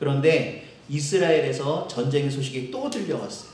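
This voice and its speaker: The room gives audible echo as a man talks at a moderate pace. His pitch is fairly high, with noticeable noise in the background. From Seoul, South Korea. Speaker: pastor. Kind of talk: sermon.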